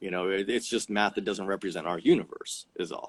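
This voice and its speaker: Fairly low in pitch, a man speaks at a fairly quick pace with ordinary pitch variation. The sound is dry and close, with no echo. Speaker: physics mentor, guest. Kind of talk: casual interview, explaining physics. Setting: live video stream. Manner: fast.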